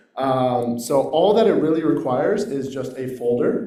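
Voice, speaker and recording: A man speaks at a moderate pace. Audible room echo and noticeable background noise surround his voice. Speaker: workshop participant presenting a software tool. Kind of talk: short project presentation. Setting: workshop room with microphone, also on Zoom. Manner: loud.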